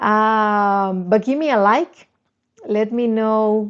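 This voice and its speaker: Against a quiet background, a woman talks with a Spanish accent. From Dominican Republic. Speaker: YouTuber, dating and confidence coach. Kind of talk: live stream chat. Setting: live stream. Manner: halting, with repetitions and restarts.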